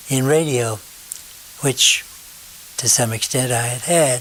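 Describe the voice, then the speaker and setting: The pace is rather slow for this male speaker. Background noise can be clearly heard. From northern New Jersey. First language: German. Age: 90s. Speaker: retired radio station owner. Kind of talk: life story interview. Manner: halting.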